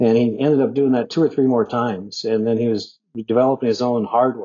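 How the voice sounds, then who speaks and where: Fairly quick in pace, this man has a medium pitch and fairly even intonation. It is an unremarkable speaking voice. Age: 50s. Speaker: bitcoin mining executive. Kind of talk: casual interview. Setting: remote podcast call. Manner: conversational with fillers.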